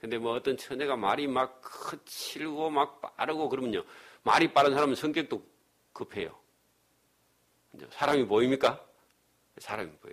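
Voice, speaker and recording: Pausing long and often, a man speaks at a fairly high pitch with ordinary pitch variation and big swings in loudness. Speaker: pastor. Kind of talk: sermon. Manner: fast.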